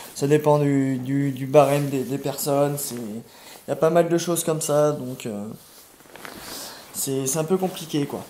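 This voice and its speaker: Spoken at a fairly slow pace with fairly even intonation, the voice breaks into long, frequent pauses and swings widely in loudness over noticeable background noise. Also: man, fairly high pitch for a man. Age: 20s. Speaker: homeless person. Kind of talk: testimony. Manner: halting.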